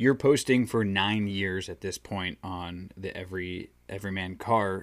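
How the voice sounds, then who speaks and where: Recorded very cleanly against a silent background, a man with an ordinary speaking voice and fairly low pitch talks with ordinary pitch variation. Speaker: podcast host. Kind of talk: casual interview chat.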